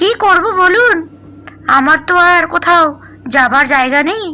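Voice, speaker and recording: A female-sounding cartoonish character voice, extremely high in pitch, moves at a fairly slow pace. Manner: soft, pleading.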